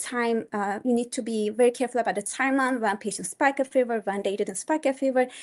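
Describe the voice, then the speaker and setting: A woman speaks with a Turkish accent in a fairly high voice. The background is quiet. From Turkey. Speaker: pediatric resident physician. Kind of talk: testimonial speech to course participants. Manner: halting, many fillers and restarts.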